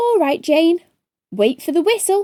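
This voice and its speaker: In a put-on character voice, a woman speaks at a moderate pace with an extremely high, squeaky pitch that swings very widely. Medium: read story. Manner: brisk, commanding.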